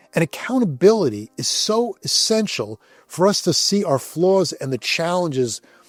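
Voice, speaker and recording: The speech is fairly slow, with very wide pitch swings. Music plays in the background of a dry, close sound with no echo. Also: man. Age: 60s. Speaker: men's ministry speaker. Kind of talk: devotional talk. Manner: casual, conversational.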